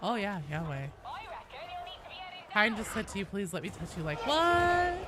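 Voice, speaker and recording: Very wide pitch swings at a fairly slow pace, with audible room echo and noticeable background noise. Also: woman, medium pitch for a woman. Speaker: gaming streamer. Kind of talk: casual chat. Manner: casual, rambling.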